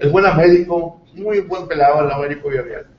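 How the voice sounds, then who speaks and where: There is noticeable background noise behind this man. His high voice has lively intonation. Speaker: local news show host. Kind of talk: interview; broadcast announcements. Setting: studio, live TV and radio. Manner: halting, many fillers.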